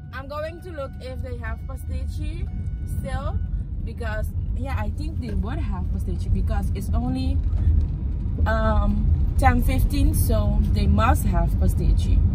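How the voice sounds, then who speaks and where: Long, frequent pauses break up a woman's fairly slow speech. The sound is dry with no echo, but loud background noise is present. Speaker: vlogger. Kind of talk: casual vlog chat. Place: car. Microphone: phone near.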